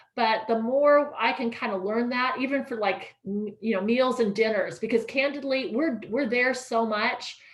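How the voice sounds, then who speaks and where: The speech runs on with hardly any pauses and fairly even intonation. Noticeable background noise sits behind it. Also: woman, high pitch for a woman. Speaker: ferry project presenter. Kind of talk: presentation with Q&A. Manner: fast.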